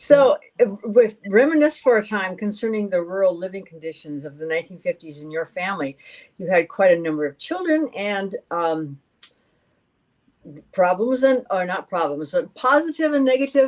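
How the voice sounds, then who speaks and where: A woman speaks at medium pitch in an Upper Midwest accent. Her pitch swings very widely and her loudness shifts a lot. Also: moderate pace. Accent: Upper Midwest American. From North Dakota. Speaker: podcast co-host. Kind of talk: casual interview chat.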